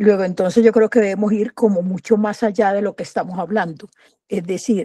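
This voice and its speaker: The woman's dark, mellow tone carries ordinary pitch variation. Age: 70s. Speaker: university professor, audience participant. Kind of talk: audience question.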